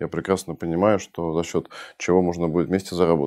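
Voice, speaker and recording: Against a quiet background, a man with a very deep, low pitch and a dark, mellow tone talks at a very fast pace. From Russia (early childhood in Budapest). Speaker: entrepreneur and investor; guest. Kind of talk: interview conversation. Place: studio. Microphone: lapel.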